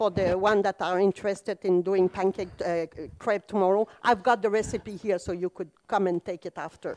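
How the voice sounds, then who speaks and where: A woman with a non-native accent speaks at a moderate pace, the sound dry and close with no echo. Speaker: business founder, conference speaker. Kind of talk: conference talk. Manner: animated.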